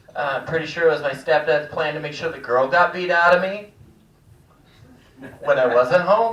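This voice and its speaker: A man with a fairly high pitch speaks at a moderate pace, with ordinary pitch variation. His speech has long, frequent pauses, and there is audible room echo. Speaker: stand-up comedian. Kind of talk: stand-up. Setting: stage with audience.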